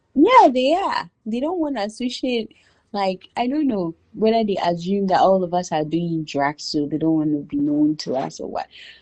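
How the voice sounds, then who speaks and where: With a Ghanaian accent, a woman of medium pitch speaks at a fairly slow pace, her pitch swinging very widely. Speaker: immigrant businesswoman. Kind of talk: casual interview chat. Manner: animated.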